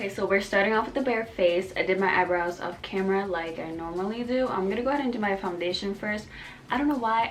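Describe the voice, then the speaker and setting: Over background music and audible room echo, a woman of medium pitch talks at a fairly quick pace with ordinary pitch variation. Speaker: beauty vlogger. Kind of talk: makeup tutorial chat. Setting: at home, late at night. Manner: casual, chatty; quiet.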